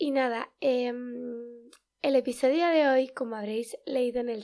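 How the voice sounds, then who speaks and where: On a very clean recording with a silent background, a woman with a Spanish accent speaks very slowly at a high pitch, her tone dark and mellow and her intonation fairly even. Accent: Peninsular Spanish. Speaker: podcast host. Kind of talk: casual solo podcast talk. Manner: hesitant, many fillers.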